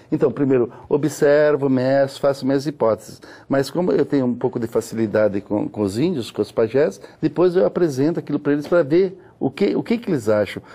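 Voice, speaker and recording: Lively intonation runs through a man's fairly high-pitched voice, which has a dark, mellow tone. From Ponta Porã, Mato Grosso do Sul, Brazil. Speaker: physicist and astronomy researcher. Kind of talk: interview. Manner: halting, with frequent repetitions.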